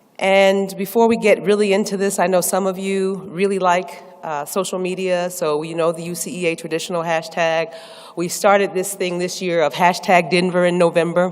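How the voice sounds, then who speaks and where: With an American accent, a woman speaks fairly quickly in a fairly low, monotone voice with flat intonation, against noticeable background noise. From US Northeast. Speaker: professor. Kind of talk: presidential address. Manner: fast.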